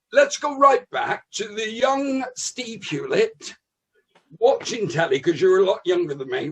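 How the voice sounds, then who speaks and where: Speaking fairly slowly with a West Country accent, a man uses an extremely high pitch that swings very widely. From West Country, England. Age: 60s. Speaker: comedian. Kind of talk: casual chat.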